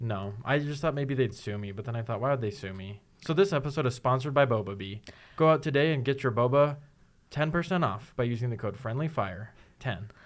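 In a plain, everyday voice, a man speaks fairly quickly at a medium pitch with lively intonation, on a very clean recording with a silent background. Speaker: podcast host. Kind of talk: casual chat.

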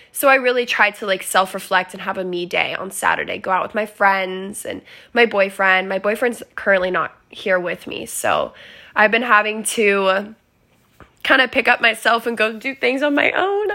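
A woman with an American accent speaks at a fairly high pitch in a bright, sharp tone. The recording is very clean, with a silent background. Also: ordinary pitch variation, moderate pace. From Arizona, US.

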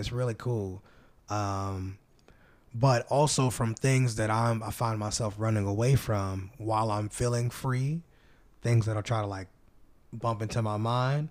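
A man speaks in a plain, everyday voice at a fairly low pitch. His pace is fairly slow and his intonation fairly even. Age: 20s. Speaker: singer-songwriter. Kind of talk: casual chat.

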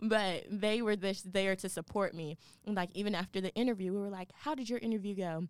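With an American accent, a woman uses a normal speaking voice at medium pitch, a fairly quick pace and fairly even intonation. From US South, Atlanta, Georgia. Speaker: university student, student radio host. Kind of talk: casual interview chat.

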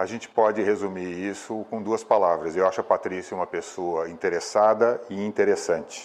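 A man keeps a moderate pace, leaving hardly any pauses. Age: 60s. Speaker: environmentalist. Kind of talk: video testimonial.

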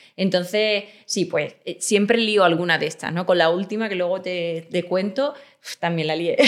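A woman talks moderately fast with ordinary pitch variation. She has an unremarkable speaking voice pitched in the middle range. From Extremadura, Spain. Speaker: crime novelist. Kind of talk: interview conversation.

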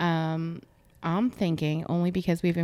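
A woman with an ordinary speaking voice and an American accent speaks at a fairly slow pace, pitched fairly low. Her intonation is fairly even, in a very clean recording with a silent background. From grew up on US Air Force bases. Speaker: podcast host. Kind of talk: casual interview.

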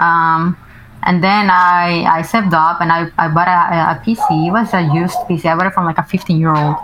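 Speaking with a Spanish accent, a woman uses a fairly low pitch, fairly even intonation and very even loudness, with noticeable background noise behind her. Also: moderate pace. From Mexico. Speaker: streamer. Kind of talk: casual chat.

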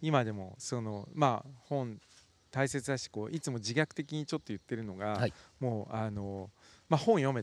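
A plain, everyday voice at a moderate pace, dry and close with no echo, on a very clean recording with a silent background. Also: man, medium pitch for a man, ordinary pitch variation. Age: 50s. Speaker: magazine editor. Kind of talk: casual conversation.

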